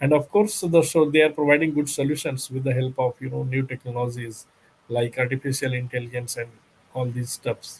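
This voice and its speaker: Somewhat breathy, a man with a medium pitch speaks at a fairly quick pace with fairly even intonation. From India, Bihar. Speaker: company secretary. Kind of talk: interview. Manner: halting, many fillers.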